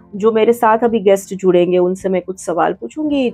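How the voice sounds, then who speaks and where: A woman's voice at medium pitch, with music playing behind it. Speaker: news anchor. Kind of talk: interview answer.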